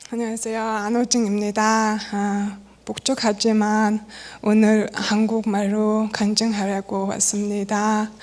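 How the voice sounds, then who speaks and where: A woman speaks very slowly with a Mongolian accent, her fairly high voice held in a flat monotone. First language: Mongolian (speaking Korean). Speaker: church member. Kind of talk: testimony. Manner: halting, with self-corrections.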